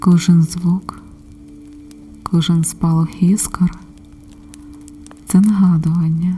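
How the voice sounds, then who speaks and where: A soft-spoken woman with a fairly low pitch, very slow and calm, in a flat monotone broken by long, frequent pauses, with music in the background. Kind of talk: ASMR relaxation and support talk. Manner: calm, soft-spoken.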